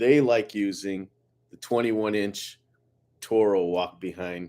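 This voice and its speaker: Medium in pitch, a man speaks at a fairly slow pace with ordinary pitch variation. The recording is very clean, with a silent background. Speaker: lawn care business owner. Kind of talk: live stream Q&A. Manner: casual, halting with fillers; loud.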